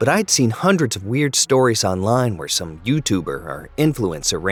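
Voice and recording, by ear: Someone reads aloud in a natural voice. Their intonation sounds lively.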